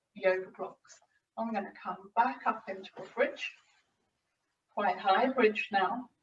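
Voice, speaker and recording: Her voice somewhat breathy, a woman speaks at a fairly slow pace. She varies her pitch in an ordinary way. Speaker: physiotherapist and yoga teacher. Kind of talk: tutorial. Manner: slowing, relaxed pace.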